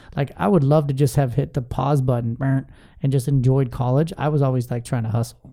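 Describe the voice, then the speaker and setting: Somewhat breathy and dark, mellow in tone, a man's medium-pitched voice moves at a fairly quick pace. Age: 30s. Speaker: podcast host. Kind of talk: casual interview; sales pitch. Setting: studio. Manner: animated.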